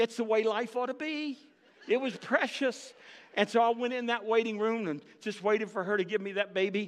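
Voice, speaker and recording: A high-pitched man with an animated tone at a fairly quick pace. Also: ordinary pitch variation. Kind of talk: sermon, preacher teaching from Luke with audience interaction. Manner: animated, conversational, storytelling with humor and direct appeals to the congregation; emphatic, rallying, building to an urgent call.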